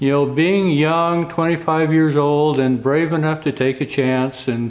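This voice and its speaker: A man talks in an ordinary speaking voice, fairly high in pitch with ordinary variation. His pace is moderate. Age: 60s. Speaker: wagon and carriage builder. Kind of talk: casual vlog talk to camera.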